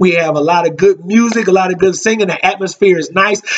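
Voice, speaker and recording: A man with a high-pitched voice speaks at a fairly quick pace with fairly even intonation. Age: 30s. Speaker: minister. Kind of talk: sermon. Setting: live stream. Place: home room. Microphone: webcam.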